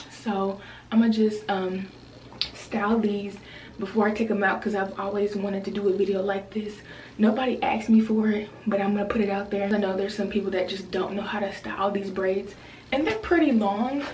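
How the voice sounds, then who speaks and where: A woman's medium-pitched voice, monotone and flat, at a fairly quick pace, with audible room echo and noticeable background noise. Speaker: beauty vlogger. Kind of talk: tutorial. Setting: bathroom at home. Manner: casual, chatty with many fillers.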